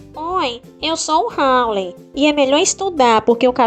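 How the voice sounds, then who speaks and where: A female-sounding voice puts on a nasal, high-pitched character voice with clear music in the background. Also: moderate pace. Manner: irritating, mocking.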